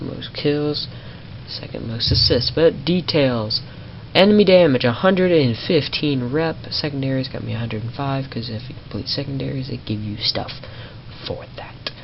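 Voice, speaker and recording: A woman's very deep, low voice at a moderate pace, with noticeable background noise. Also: big swings in loudness. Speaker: gaming youtuber. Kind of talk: gameplay commentary. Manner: animated. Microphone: possible audio issues from capture software.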